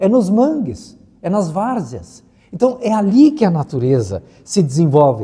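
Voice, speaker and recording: A man with a high voice speaks at a fairly slow pace. His tone is dark and mellow, and his pitch swings very widely. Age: 70s. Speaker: environmental expert. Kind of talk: interview.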